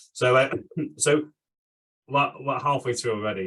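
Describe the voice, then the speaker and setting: In a normal speaking voice, a man talks at a fairly quick pace. His pitch variation is ordinary. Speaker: podcast host. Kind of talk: podcast interview host talk.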